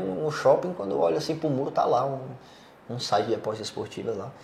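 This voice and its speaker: The intonation is lively. Noticeable background noise and audible room echo are present. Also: man. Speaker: podcast host on sports betting business. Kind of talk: casual chat.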